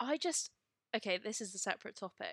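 The recording of a woman speaking at a very fast pace has a dry, close sound with no echo. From Devon, near Plymouth. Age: 20s. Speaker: podcast co-host. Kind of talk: casual chat.

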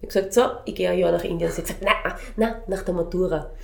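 A woman's fairly quick speech with audible room echo and noticeable background noise. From Vienna, Austria. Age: 40s. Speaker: children's music educator. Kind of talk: interview. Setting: in her music studio.

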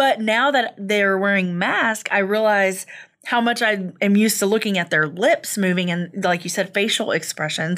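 At a moderate pace and medium pitch, a woman talks in an ordinary speaking voice with very even loudness and ordinary pitch variation, on a very clean recording with a silent background. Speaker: radio co-host. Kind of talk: casual chat.

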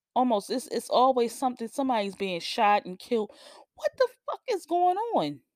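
The voice has an animated tone and very wide pitch swings, recorded with a dry, close sound and no echo. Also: woman. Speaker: podcast host. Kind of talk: solo commentary monologue.

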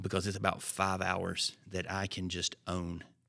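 On a very clean recording with a silent background, a man with a Southern US accent speaks in a very deep, low pitch with monotone, flat intonation. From Alabama. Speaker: pastor. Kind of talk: casual chat.

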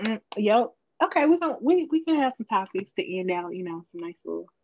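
Heard in a dry, close sound with no echo, a woman with an American accent speaks at a fairly high pitch that swings very widely. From US South, Memphis. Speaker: podcast co-host. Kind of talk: casual chat.

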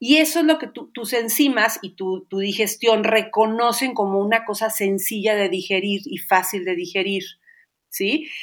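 In a normal speaking voice, a woman speaks fairly slowly at a fairly high pitch with lively intonation. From Mexico, Xalapa, Veracruz. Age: 50s. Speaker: baker and Pilates teacher. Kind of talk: interview.

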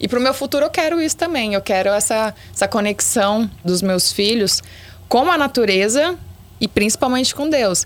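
Over a very clean recording with a silent background, a woman with a fairly high pitch speaks at a moderate pace with lively intonation. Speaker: former beauty pageant contestant. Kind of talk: casual chat.

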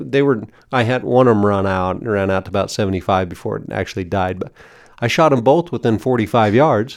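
A man's normal speaking voice, fairly low in pitch, at a fairly quick pace with ordinary pitch variation. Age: 40s. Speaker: podcast host, coyote hunter. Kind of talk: scripted intro and outro; casual chat.

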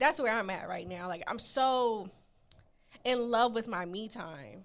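A woman with a fairly high pitch talks at a fairly slow pace, using lively intonation and vocal fry. Her loudness swings widely. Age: 20s. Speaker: podcast co-host. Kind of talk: casual chat.

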